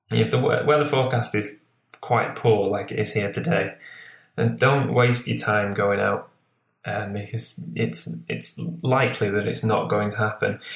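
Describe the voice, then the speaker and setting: A fairly slow delivery in a Lancashire accent. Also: man. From northwest England, Lancashire. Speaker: landscape photographer. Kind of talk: interview.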